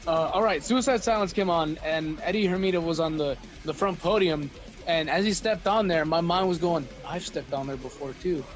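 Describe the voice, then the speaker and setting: Against noticeable background noise, a loud man with a high pitch speaks fairly quickly, his pitch varying in an ordinary way. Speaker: metal musician and artist. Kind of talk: casual podcast chat. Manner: loud, excitable.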